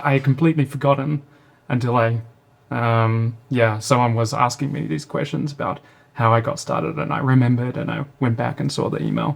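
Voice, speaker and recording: A man speaks with a New Zealand accent. His pace is fairly quick. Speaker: startup founder and CEO. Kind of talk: interview.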